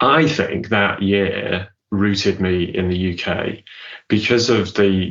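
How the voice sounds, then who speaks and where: A man speaks with a British accent in a very deep, low voice. His pace is very slow and his intonation fairly even. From Zambia. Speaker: business consultant and keynote speaker. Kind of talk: casual interview. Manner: halting, many repetitions.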